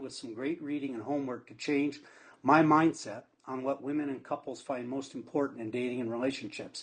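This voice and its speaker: This man has a normal speaking voice, pitched fairly high, moving at a fairly quick pace with big swings in loudness. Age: 60s. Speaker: IT professional. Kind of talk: client testimonial.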